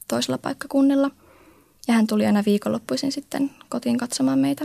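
A woman's somewhat breathy, fairly high voice has a dark, mellow tone and very wide pitch swings, recorded with a dry, close sound and no echo. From Oulu, Finland. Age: 20s. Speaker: comic blogger. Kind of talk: personal testimony.

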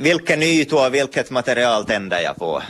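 A man with vocal fry speaks at medium pitch and a moderate pace, with lively intonation. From Ostrobothnia, Finland (Pedersöre, Purmo). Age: 30s. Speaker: artist and author. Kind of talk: interview.

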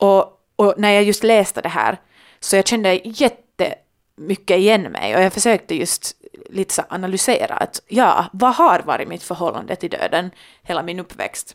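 On a very clean recording with a silent background and a dry, close sound with no echo, a woman speaks in a normal speaking voice at a moderate pace and a medium pitch. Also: ordinary pitch variation. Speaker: podcast co-host, daughter. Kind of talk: casual chat.

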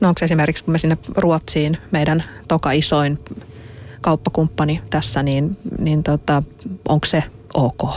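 Over noticeable background noise, a woman with a very deep, low pitch speaks at a fairly slow pace with long, frequent pauses and very even loudness. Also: fairly even intonation. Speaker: radio host. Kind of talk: radio interview. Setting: studio.

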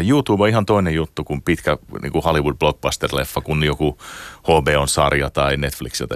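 Using a very deep, low pitch and vocal fry, a man rattles along at a very fast pace with ordinary pitch variation, the sound dry and close with no echo. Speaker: games industry executive. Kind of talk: interview. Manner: halting.

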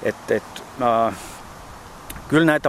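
Noticeable background noise runs under speech with ordinary pitch variation. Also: man. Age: 50s. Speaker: ultrarunner. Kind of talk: casual interview. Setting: outdoors in a park.

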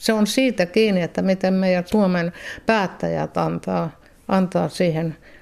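A woman with a dark, mellow tone talks at a fairly slow pace with fairly even intonation. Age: 70s. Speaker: retired volunteer helping asylum seekers. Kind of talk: radio interview. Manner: halting.

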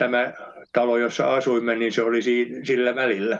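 A man's voice at medium pitch. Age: 80s+. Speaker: son of the subject. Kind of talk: interview. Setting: phone call.

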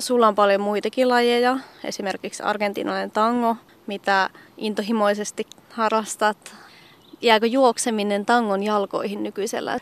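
Flat, monotone delivery at a moderate pace, with a dry, close sound and no echo. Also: woman, fairly high pitch for a woman. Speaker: radio journalist. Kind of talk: casual interview. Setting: outdoors.

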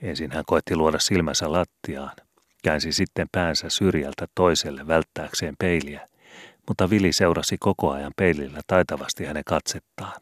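In a very clean recording with a silent background and a dry, close sound free of echo, a man with a very deep, low voice speaks at a moderate pace with fairly even intonation. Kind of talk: audiobook reading of a classic youth novel.

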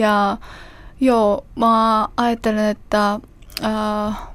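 A woman's medium-pitched voice with a Korean accent, in a very clean recording over a silent background. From South Korea. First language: Korean (speaking Finnish). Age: 20s. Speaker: interviewee, language learner. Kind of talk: interview. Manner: halting.

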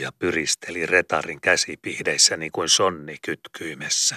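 Fairly slow speech from a man, the sound dry and close with no echo. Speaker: audiobook narrator. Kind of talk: literary audiobook reading, dense archaic prose read aloud in a steady, storytelling tone. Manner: slow, measured and expressive, with emphatic, rolling delivery of long ornate sentences.

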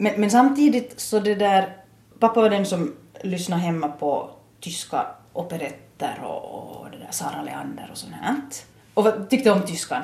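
A woman at a medium pitch with an Ostrobothnian accent, lively intonation, a moderate pace and big swings in loudness, amid noticeable background noise and audible room echo. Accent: Ostrobothnian intonation in Finland-Swedish. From Ostrobothnia, Finland (Nykarleby). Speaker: adult education principal and German teacher. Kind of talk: interview. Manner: repeats words often, thinking aloud.

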